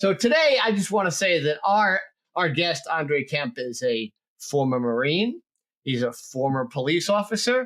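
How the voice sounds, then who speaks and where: Speaking at a moderate pace, a man with a New Jersey accent uses a fairly high pitch with very wide pitch swings. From New Jersey, US. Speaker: podcast host. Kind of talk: casual interview chat.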